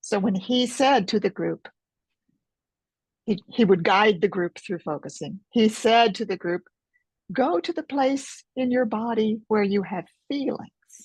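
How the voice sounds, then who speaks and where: A woman with an American accent speaks at a fairly slow pace, leaving long, frequent pauses, her fairly high pitch carrying lively intonation. Her voice is somewhat breathy, and the sound is dry and close with no echo. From United States. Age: 70s. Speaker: author and focusing teacher. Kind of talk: interview.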